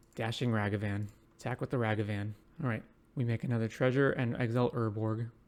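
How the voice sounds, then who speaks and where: Quiet and very fast, this man talks at a medium pitch with fairly even intonation. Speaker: Magic: The Gathering streamer. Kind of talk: live gameplay commentary. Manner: quiet, ASMR-like speaking.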